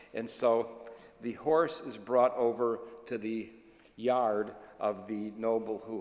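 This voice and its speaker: With audible room echo, a man talks at a very slow pace and a medium pitch, keeping fairly even intonation amid big swings in loudness. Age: 70s. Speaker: rabbi. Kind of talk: sermon.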